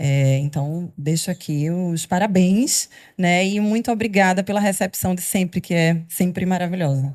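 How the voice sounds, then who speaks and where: Here a woman speaks at a fairly slow pace with medium pitch and ordinary pitch variation. The recording is very clean, with a silent background. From Recife, Pernambuco, northeastern Brazil. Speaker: law professor. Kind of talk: panel discussion.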